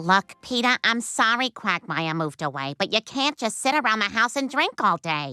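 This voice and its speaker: With hardly any pauses, a female-sounding cartoonish character voice goes at a moderate pace. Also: fairly high pitch for a woman. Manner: exasperated.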